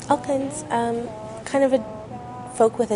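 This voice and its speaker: A woman speaks over noticeable background noise. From western Canada (Maple Ridge, British Columbia). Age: 20s. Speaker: musician. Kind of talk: interview. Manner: hesitant, many fillers.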